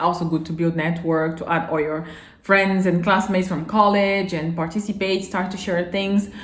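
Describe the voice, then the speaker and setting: The voice is flat and monotone at a fairly quick pace. Audible echo fills the room. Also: woman. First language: not English. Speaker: vlogger. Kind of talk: casual advice vlog. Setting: filming alone to camera. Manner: halting at times.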